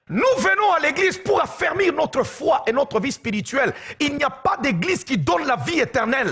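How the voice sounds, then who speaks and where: An animated man with an extremely high pitch and very wide pitch swings, amid noticeable background noise. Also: very even loudness. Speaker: pastor. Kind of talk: sermon. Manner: slow.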